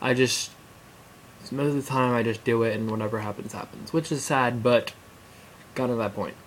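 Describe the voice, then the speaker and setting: A man talks at a moderate speed while noticeable noise runs in the background. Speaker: vlogger. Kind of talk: casual vlog. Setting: alone at home on camera. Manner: halting.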